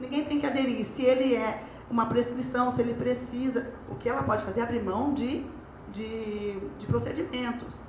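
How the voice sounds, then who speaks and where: Against noticeable background noise and audible room echo, a woman speaks at a high pitch with fairly even intonation. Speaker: lawyer. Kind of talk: lecture. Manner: fast.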